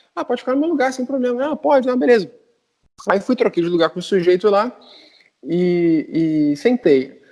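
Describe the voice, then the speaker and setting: A dark, mellow tone with very wide pitch swings, a moderate pace, long, frequent pauses, and a Brazilian accent. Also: man, high pitch for a man. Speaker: podcast panelist. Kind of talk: casual chat, storytelling.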